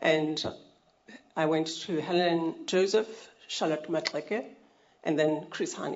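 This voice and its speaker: Very slow and marked by long, frequent pauses, this woman's speech stays fairly even in intonation. Her pitch is fairly low. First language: not English (African language). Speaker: health rights advocate, NGO founder. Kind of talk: formal testimony at a public hearing. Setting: public hearing venue. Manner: formal.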